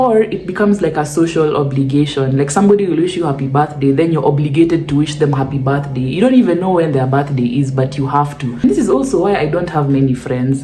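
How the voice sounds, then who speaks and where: A woman with a very deep, low pitch and ordinary pitch variation talks at a very fast pace with hardly any pauses, amid noticeable background noise and audible room echo. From Kenya. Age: 20s. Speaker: YouTuber. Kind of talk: casual Q&A vlog. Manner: animated.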